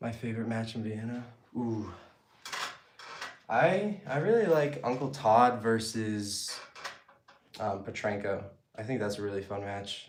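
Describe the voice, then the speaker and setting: Someone with an American accent speaks at a fairly slow pace with ordinary pitch variation and long, frequent pauses. Audible room echo is present. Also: man, medium pitch for a man. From Massachusetts, US. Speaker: arm wrestler and fitness YouTuber. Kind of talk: casual Q&A during training. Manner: casual, filler-heavy.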